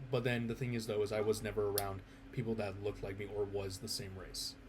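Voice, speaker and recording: The speaker is a man with an American accent. He talks at a very fast pace with ordinary pitch variation. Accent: sounds very American. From US Midwest, Chicago suburbs. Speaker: vlogger. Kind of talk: personal monologue. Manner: halting.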